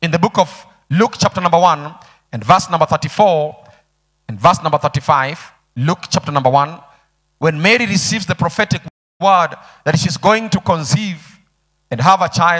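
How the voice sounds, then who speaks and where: At a moderate pace, a high-pitched man speaks with long, frequent pauses. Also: ordinary pitch variation, quiet background. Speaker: pastor. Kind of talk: sermon. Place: church. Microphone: handheld.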